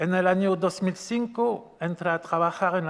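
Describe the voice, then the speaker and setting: A man with a strong French accent speaks with ordinary pitch variation. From France. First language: French (speaking Spanish). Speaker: event organizer and moderator; event moderator. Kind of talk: event moderation; moderator introduction of speakers. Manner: halting. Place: hall. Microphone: podium.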